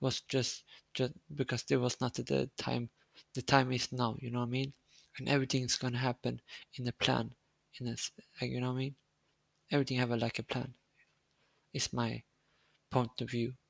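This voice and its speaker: With a non-native accent, a man at medium pitch talks at a fairly quick pace in a monotone, flat intonation, leaving long, frequent pauses, and the sound is dry and close with no echo. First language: Swedish. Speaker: streamer. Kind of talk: casual chat. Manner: halting.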